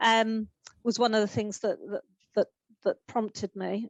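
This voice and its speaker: A woman speaks at a moderate pace with ordinary pitch variation. The sound is dry and close, with no echo. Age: 50s. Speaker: community organiser and LGBT activist. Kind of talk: interview answer. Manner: hesitant, reflective.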